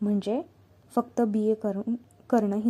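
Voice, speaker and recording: With fairly even intonation, a woman speaks in a fairly high pitch, her somewhat breathy voice carrying a dark, mellow tone. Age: 20s. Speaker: YouTuber and exam aspirant. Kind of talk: advice talk to camera.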